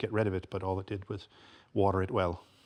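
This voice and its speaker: Here is a man with an American accent and a fairly low pitch. He speaks fairly quickly in a monotone, flat way. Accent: American with slight Irish tinge. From Michigan, US. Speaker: American expat. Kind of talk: TV chat show interview. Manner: halting, many fillers.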